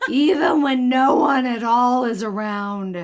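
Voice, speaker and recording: A woman's put-on character voice, high in pitch and fairly slow. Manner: unbearably melancholy, heavy emphasis.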